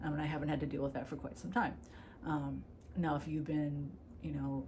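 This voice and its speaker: A woman's voice with audible room echo. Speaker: YouTuber discussing personal disorder. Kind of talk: personal vlog monologue. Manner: fast; casual, filler-heavy.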